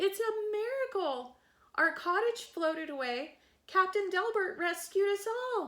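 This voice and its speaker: A woman's put-on character voice, squeaky and extremely high-pitched, at a fairly slow pace on a very clean recording with a silent background. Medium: read story.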